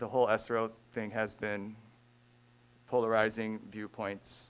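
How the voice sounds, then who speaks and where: The man's voice sits at a medium pitch. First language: not English. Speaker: school resource officer. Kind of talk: public comment at a board meeting. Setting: school board meeting.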